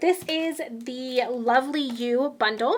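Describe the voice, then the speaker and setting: A woman speaks in an animated tone with a high pitch. Noticeable background noise is present. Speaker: craft demonstrator. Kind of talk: product showcase tutorial.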